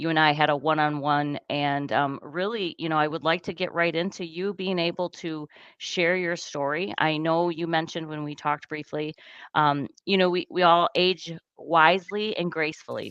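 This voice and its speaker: With a normal speaking voice, a woman talks at a moderate pace in fairly even intonation and a fairly low pitch. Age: 50s. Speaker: podcast host. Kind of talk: interview.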